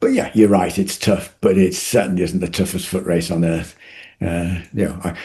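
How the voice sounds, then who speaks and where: At a moderate pace, a man speaks with a very deep, low pitch and a dark, mellow tone that is somewhat breathy. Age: 70s. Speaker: retired doctor and ultra runner. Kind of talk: interview. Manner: halting.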